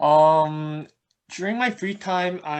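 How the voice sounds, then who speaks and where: With a Korean accent, a man speaks at a fairly high pitch. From South Korea (Seoul), childhood partly in Egypt and Dubai. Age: 20s. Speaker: mobile app designer. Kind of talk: casual interview chat.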